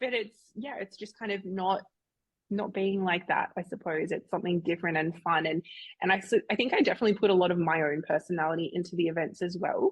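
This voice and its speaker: A woman's medium-pitched voice at a very fast pace, with ordinary pitch variation. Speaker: entrepreneur and event organiser. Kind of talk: interview conversation. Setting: podcast interview. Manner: loud; animated.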